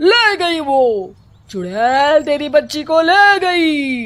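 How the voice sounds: Someone uses a put-on character voice with a fairly bright tone, big pitch swings, and a very slow pace.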